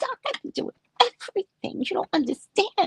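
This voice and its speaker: Soft-spoken and at a moderate pace, a woman uses a put-on character voice with an extremely high pitch and very wide pitch swings. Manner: pleading, weary.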